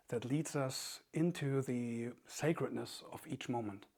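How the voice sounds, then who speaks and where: A man with a German accent speaks in a calm tone at a fairly slow pace. His pitch is fairly high, with ordinary variation. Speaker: author and meditation teacher. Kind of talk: reflective talk. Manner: calm, halting with fillers.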